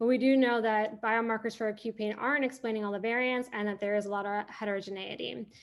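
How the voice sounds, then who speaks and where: Over a silent background in a very clean recording, a woman speaks at a fairly quick pace with a fairly high pitch and fairly even intonation. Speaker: pain neuroscience researcher. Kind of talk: academic research talk. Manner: fast.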